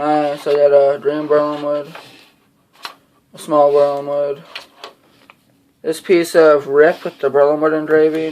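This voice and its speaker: The speech is mumbled and fairly slow. Long pauses come often. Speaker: fingerboarding hobbyist youtuber. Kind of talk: unboxing video. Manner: mumbling.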